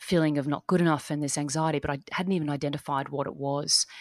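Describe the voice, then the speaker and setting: With an Australian accent, a woman speaks in a very deep, low pitch and fairly even intonation, her sound dry and close with no echo. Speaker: life and business strategist, dance teacher. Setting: remote call from Australia.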